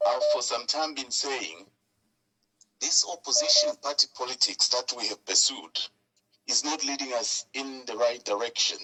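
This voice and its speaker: With a plain, everyday voice, a man talks at a moderate pace in a medium pitch with ordinary pitch variation. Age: 60s. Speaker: caller. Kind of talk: phone-in call to talk show.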